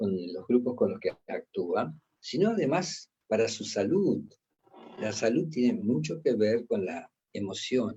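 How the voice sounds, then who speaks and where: This voice moves through very wide pitch swings at a very slow pace and sounds somewhat breathy. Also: man, medium pitch for a man. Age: 80s+. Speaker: lecturer on emotional intelligence. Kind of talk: lecture. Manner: emphatic, repetitive.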